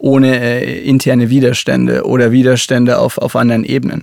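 A man with a Franconian accent talks in a medium pitch with monotone, flat intonation. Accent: Franconian, rolled R. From Upper Franconia, Germany (near Kulmbach). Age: 30s. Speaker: cosmetics company digital executive. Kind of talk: interview. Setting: studio.

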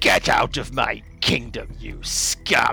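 The speaker puts on a raspy character voice. Background noise comes through clearly. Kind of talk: commanding.

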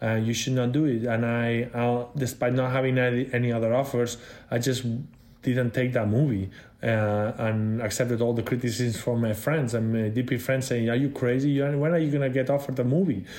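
Speaking at a fairly quick pace, a man with a Spanish accent holds a medium pitch and very even loudness. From Spain. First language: Spanish or Catalan. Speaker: cinematographer. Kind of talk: interview.

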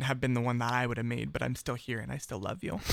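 Talking at a fairly quick pace, a man uses a plain, everyday voice with medium pitch and fairly even intonation. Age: 20s. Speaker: former missionary. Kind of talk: casual chat.

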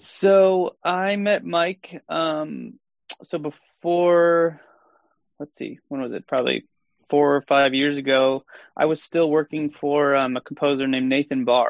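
A man with an American accent talks at a fairly slow pace in an unremarkable speaking voice. His pitch is fairly high, with ordinary pitch variation. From Sheboygan, Wisconsin. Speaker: film composer. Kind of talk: casual chat.

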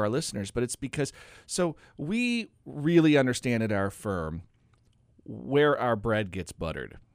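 An unremarkable speaking voice with an American accent and lively intonation moves at a moderate pace on a very clean recording with a silent background. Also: man. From Oregon. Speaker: financial advisor and radio host. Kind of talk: casual radio talk show. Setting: radio studio.

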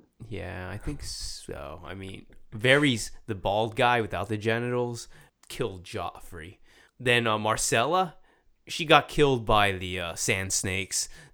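On a very clean recording with a silent background, a man with a Southern California accent speaks at medium pitch in a bright, sharp tone with lively intonation. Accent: Southern California surfer sound. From US Northeast, Philadelphia. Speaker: podcast co-host, surf instructor. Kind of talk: casual chat.

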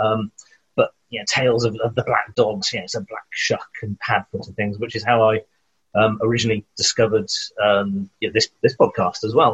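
Speaking at a moderate pace in a South Wales accent, a man sounds dry and close, with no echo. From Wales, Newport. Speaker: children's author. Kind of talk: casual chat.

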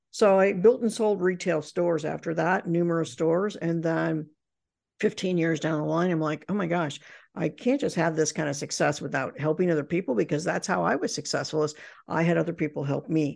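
At a fairly quick pace, a woman with a very deep, low pitch and vocal fry speaks in an American accent. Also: quiet background. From Indiana, US Midwest. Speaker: professional speaker and business author. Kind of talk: interview.

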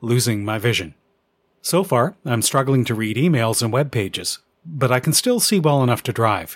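With a Canadian accent, a man has a plain, everyday voice at a medium pitch. He talks at a moderate pace on a very clean recording with a silent background. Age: 50s. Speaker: amateur radio podcaster. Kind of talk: scripted narration.

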